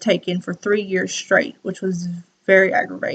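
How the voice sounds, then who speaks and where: Talking at a fairly quick pace, a woman speaks in a Southern US accent. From US South, South Carolina. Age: 20s. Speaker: student. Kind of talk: class presentation.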